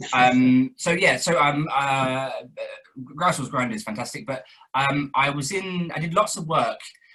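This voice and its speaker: A man's voice sits at a medium pitch and has a bright, sharp tone. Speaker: actor and director. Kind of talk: interview. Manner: hesitant, many fillers.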